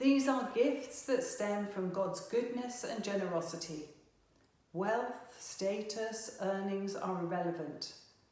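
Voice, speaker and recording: Very slow speech from a woman at medium pitch with ordinary pitch variation, against noticeable background noise. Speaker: agricultural chaplain and rural adviser. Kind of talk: church sermon.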